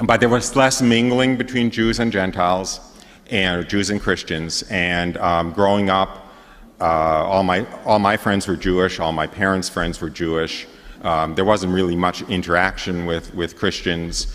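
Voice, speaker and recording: A man with a New York accent speaks at a fairly slow pace, his very deep, low pitch showing ordinary variation. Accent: New York area American. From New York area, US. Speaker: priest giving retreat talk. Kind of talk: testimony. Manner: halting, many fillers.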